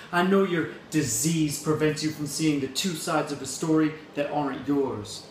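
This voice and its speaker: A man speaks over noticeable background noise. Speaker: spoken word poet. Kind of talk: slam poetry performance. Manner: angry, intense.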